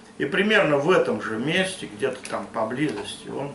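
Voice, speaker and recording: Noticeable background noise and audible room echo surround a man who talks at a fairly high pitch and a fairly slow pace. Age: 60s. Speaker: Cossack elder. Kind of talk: interview. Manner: halting.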